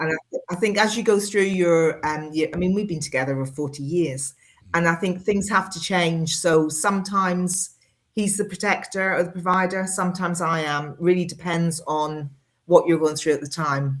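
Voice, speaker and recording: Speaking with a Northern Irish accent, a woman keeps a moderate pace, a fairly low pitch and fairly even intonation. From Northern Ireland. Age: 50s. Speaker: engineer and medical radiographer. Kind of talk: podcast interview answer.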